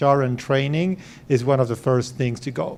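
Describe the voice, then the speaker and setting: The voice, in an Argentine accent, is dark and mellow, with fairly even intonation at a fairly slow pace. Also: man. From Argentina. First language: Spanish. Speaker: venture capital investor. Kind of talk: fireside chat talk to founders.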